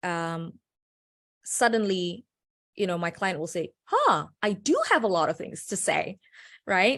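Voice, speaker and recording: A woman with a non-native accent speaks at a very slow pace. The background is quiet. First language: not English. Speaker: personal branding consultant. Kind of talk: panel discussion.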